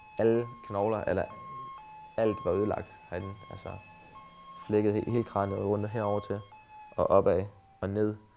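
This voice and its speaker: The voice keeps a monotone, flat intonation while music plays in the background. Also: man. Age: 20s. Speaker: assault victim. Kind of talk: testimony. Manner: halting.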